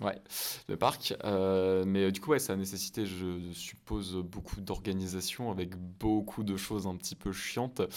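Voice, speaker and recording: A man with a very deep, low voice talks at a fairly slow pace with fairly even intonation. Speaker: film podcast host. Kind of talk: interview. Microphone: mic badly set, saturating heavily.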